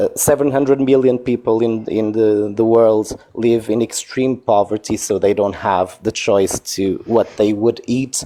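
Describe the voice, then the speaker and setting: The voice has a dark, mellow tone and a Portuguese accent. It moves at a fairly slow pace with fairly even intonation. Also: man, medium pitch for a man. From Portugal. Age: 40s. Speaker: caller in a debate livestream. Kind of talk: debate. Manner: halting, searching for words.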